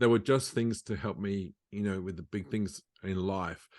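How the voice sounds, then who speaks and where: This man has an ordinary speaking voice, fairly low in pitch, with fairly even intonation. He talks at a moderate pace against a quiet background. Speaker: musician and educator; stroke survivor. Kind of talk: interview answer.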